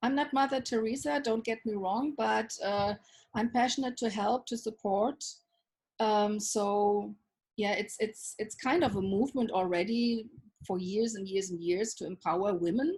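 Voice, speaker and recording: The woman's voice is fairly high and somewhat breathy. She talks at a moderate pace, her pitch varying in an ordinary way. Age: 60s. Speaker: self-love coach. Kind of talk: interview.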